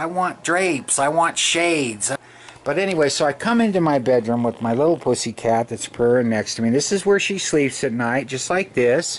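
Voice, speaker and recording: At a moderate pace, a man speaks fairly high with lively intonation. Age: 50s. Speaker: video blogger. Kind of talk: casual monologue to camera. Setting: bedroom, lying in bed. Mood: chatty, affectionate, complaining. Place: home room. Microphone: phone near.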